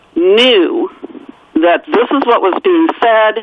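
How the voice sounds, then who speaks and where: Against noticeable background noise, a woman speaks at a very slow pace with very wide pitch swings. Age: 60s. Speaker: author. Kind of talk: radio interview.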